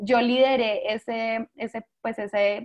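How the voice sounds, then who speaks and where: The voice belongs to a woman with a fairly high pitch. She keeps her intonation fairly even. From Colombia, San Andrés island (Caribbean). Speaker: startup founder and CEO. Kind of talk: interview.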